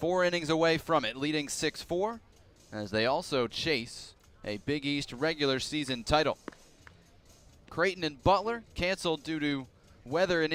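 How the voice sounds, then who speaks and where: A man's fairly high-pitched, normal speaking voice at a moderate pace, in a very clean recording with a silent background. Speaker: baseball play-by-play announcer. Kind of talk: broadcast open and game intro, play-by-play voice.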